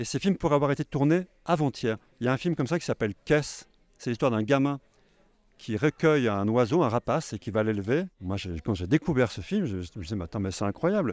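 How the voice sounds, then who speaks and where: A man at a fairly quick pace, with a dry sound and no echo. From Haute-Savoie, France. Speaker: film director and novelist. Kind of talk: interview. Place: hall. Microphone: handheld.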